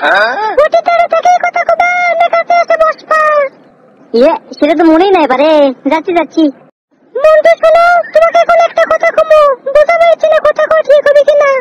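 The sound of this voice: An extremely high-pitched, cartoonish character voice comes through in a dry, close sound with no echo. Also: moderate pace.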